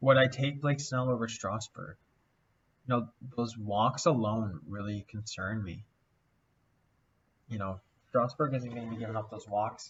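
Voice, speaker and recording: Mumbling at a moderate pace, a man with a medium pitch and a somewhat breathy voice shows ordinary pitch variation, big swings in loudness, and long, frequent pauses. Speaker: fantasy baseball content creator. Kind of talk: casual screen-share analysis. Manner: thinking aloud with fillers.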